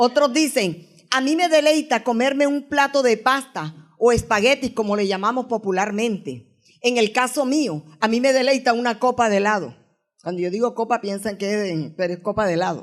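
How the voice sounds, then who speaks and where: A woman's plain, everyday voice, fairly high and lively in intonation at a moderate pace, over a very clean recording and silent background. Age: 60s. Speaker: guest preacher. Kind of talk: sermon.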